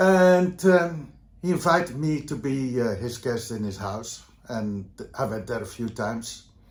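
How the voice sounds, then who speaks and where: Speaking at a fairly slow pace with a Dutch accent, a man's somewhat breathy voice swings very widely in pitch amid audible room echo. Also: medium pitch for a man. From Netherlands, Vlaardingen near Rotterdam. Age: 70s. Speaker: leather community veteran. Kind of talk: interview. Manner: halting, many fillers.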